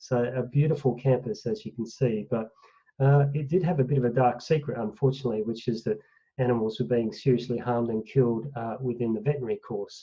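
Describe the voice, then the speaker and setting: A man with an Australian accent talks very fast in a somewhat breathy voice. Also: medium pitch for a man, ordinary pitch variation. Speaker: professor of animal welfare, veterinarian. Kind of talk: online lecture presentation.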